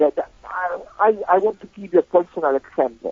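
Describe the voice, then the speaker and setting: A man talks with an Italian accent at a high pitch and a fairly slow pace. His intonation is lively. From Italy. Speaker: composer and sacred music expert. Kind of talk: interview conversation. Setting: remote call. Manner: hesitant with many fillers.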